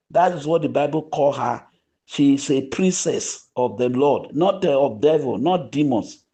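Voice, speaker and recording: A man's fairly high-pitched voice with a dark, mellow tone, ordinary pitch variation and a moderate pace over a quiet background. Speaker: online grant update channel host. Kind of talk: community voice note appeal. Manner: soft-spoken; preachy, exhortative.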